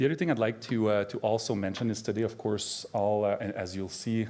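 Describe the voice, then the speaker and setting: Speaking with a French Canadian accent, a man uses a fairly low pitch, a dark, mellow tone and fairly even intonation at a fairly quick pace on a very clean recording with a silent background. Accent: French Canadian accent, noticeable. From Quebec, Canada. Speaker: addiction psychiatry professor. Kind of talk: conference talk. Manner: halting, many fillers.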